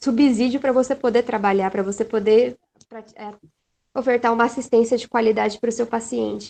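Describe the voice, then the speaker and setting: Monotone, flat intonation carries a dark, mellow tone. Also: woman. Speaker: nursing student. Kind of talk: panel interview.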